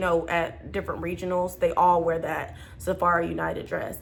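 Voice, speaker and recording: A woman speaking at a fairly quick pace amid audible room echo. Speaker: flight attendant. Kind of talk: casual vlog advice. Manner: fast; loud.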